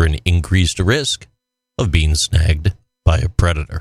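An American accent marks this man's speech, delivered at a moderate pace with a very deep, low pitch. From New York State. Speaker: podcast co-host. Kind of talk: casual chat. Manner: animated.

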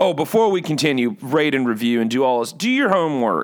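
Very wide pitch swings run through a man's speech in an American accent. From California. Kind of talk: casual chat. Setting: video call.

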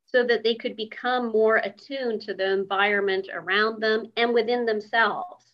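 At a moderate pace, a woman with a fairly high pitch talks in a normal speaking voice. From Canada. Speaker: yoga and meditation teacher. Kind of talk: casual interview chat.

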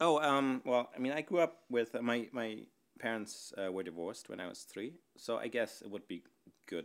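Speaking at a moderate pace with a German accent, the voice has vocal fry, big swings in loudness and very wide pitch swings. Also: man. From northern Germany. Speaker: podcast participant on a date. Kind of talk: casual chat.

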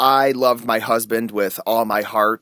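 With an American accent and ordinary pitch variation, the voice has a dry, close sound with no echo. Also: man. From US Midwest, Cleveland area, Ohio. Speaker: adventurer and writer. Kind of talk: personal storytelling interview.

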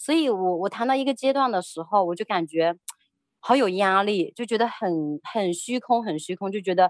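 An unremarkable speaking voice moves at a moderate pace. Its intonation is lively. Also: woman, medium pitch for a woman. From China. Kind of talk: personal testimony interview. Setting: radio studio.

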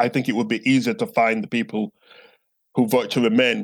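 With a Yorkshire accent, a man talks at a moderate pace and medium pitch. His intonation is lively. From northern England, Bradford. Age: 50s. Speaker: theologian and professor. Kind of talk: interview. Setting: at home, remote call.

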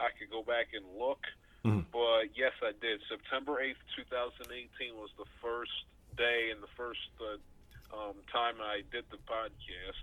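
Speaking very slowly, a man talks in an American accent. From Baltimore area, Maryland. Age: young. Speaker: aspiring sports broadcaster and podcaster. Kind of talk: casual interview.

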